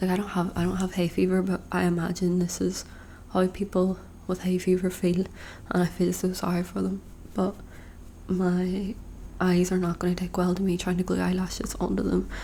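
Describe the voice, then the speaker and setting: A soft-spoken woman at a medium pitch, somewhat breathy. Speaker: ASMR creator. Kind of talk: casual talk to camera, get-ready-with-me video. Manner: soft-spoken, rambling.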